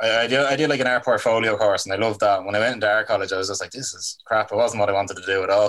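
With a Dublin accent, a man talks at a very fast pace with hardly any pauses. His medium pitch holds fairly even intonation. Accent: Irish (Dublin). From Ireland, Dublin. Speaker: album cover artist. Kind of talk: casual chat.

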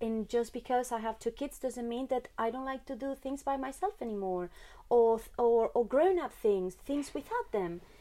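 With a high pitch and a dark, mellow tone, a woman talks at a moderate pace and ordinary pitch variation. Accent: Spanish. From Spain. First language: Spanish. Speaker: mother of twins. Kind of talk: casual chat. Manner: halting.

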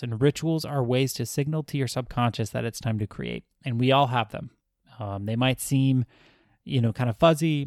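A man's medium-pitched speech at a moderate pace, with ordinary pitch variation, on a very clean recording with a silent background and a dry, close sound with no echo. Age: 30s. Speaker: podcast host, writer. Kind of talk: solo motivational talk. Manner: casual, unscripted with fillers.

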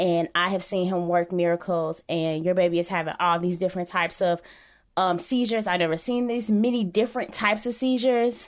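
With an American accent and an unremarkable speaking voice, a woman talks at a fairly quick pace and medium pitch with ordinary pitch variation, on a very clean recording with a silent background. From Chicago. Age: 30s. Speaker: journalist and professor, parent. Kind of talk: interview conversation.

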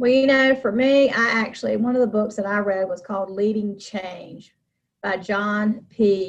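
At a fairly slow pace, a woman with an American accent talks in an unremarkable speaking voice, fairly high in pitch with fairly even intonation. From North Carolina, Charlotte. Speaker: nonprofit consultant and fundraiser. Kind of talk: interview.

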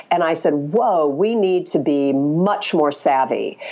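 Noticeable background noise sits behind a woman's very deep, low voice. She speaks at a fairly slow pace with ordinary pitch variation. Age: 50s. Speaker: communications consultant and author. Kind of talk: interview.

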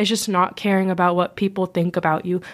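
Recorded very cleanly against a silent background, a woman with a plain, everyday voice talks fairly quickly at a medium pitch. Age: young. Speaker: college-bound student. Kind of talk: casual chat. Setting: studio.

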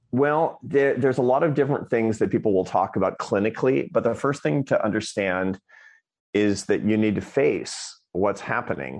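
Over a quiet background, a man with an American accent uses an ordinary speaking voice at a moderate pace and medium pitch, with lively intonation. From Scranton, Pennsylvania, US. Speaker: social scientist and author. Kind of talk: interview.

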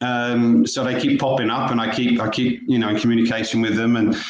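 Audible room echo surrounds a man speaking at medium pitch with an East Anglian accent. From Norfolk, England. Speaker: former professional footballer. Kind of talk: interview.

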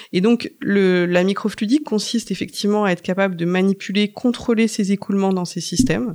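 This is a woman with an ordinary speaking voice, medium in pitch, with ordinary pitch variation. She talks at a fairly quick pace with hardly any pauses. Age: 40s. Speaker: research scientist. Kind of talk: interview. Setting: lab tour.

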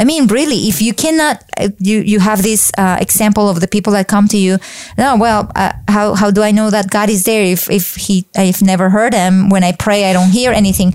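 Speaking at a fairly quick pace, a woman keeps a medium pitch. Her loudness stays very even. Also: ordinary pitch variation. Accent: Colombian. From Colombia, Bogota. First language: Spanish. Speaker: faith speaker. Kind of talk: interview.

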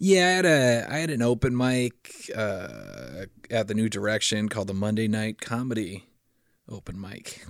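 With an American accent and a plain, everyday voice, a man talks at a moderate pace and medium pitch with lively intonation on a very clean recording with a silent background. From Fargo area, US Upper Midwest. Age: 30s. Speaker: stand-up comedian. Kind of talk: casual chat.

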